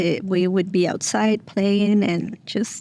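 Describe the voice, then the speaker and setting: A woman with a Mexican accent speaks in a dark, mellow tone at a fairly slow pace. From Mexico. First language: Spanish. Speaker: single mom, nonprofit staff member. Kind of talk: interview, personal story. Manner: hesitant, many fillers.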